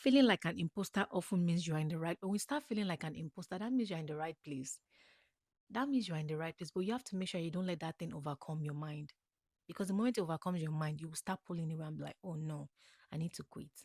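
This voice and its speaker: In a very clean recording with a silent background and a dry, close sound with no echo, a woman with an African accent talks at a very fast pace in a fairly low pitch. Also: ordinary pitch variation. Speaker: podcast host, motivational speaker. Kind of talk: motivational talk. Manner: animated.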